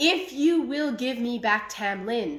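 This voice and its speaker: Growling in a put-on character voice, a woman speaks at a high pitch and a fairly slow pace. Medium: read story. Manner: formal, cold, commanding.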